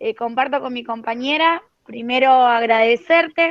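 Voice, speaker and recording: The pitch moves in an ordinary way. The pace is very slow. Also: woman. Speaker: teacher-training student. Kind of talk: question in class discussion. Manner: talkative.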